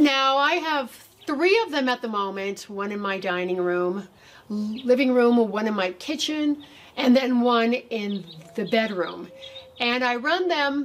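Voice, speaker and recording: A woman speaks at a fairly slow pace with lively intonation. Her pitch is high. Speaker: gardening channel host. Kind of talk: tutorial. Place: garden. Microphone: camera far.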